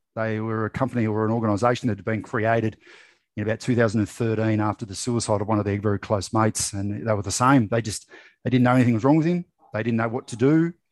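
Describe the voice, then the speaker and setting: With an Australian accent, a man speaks at a very fast pace in medium pitch. His pitch variation is ordinary, and the background is quiet. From rural New South Wales, Australia. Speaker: mental health advocate and former reality TV contestant. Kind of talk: casual interview chat.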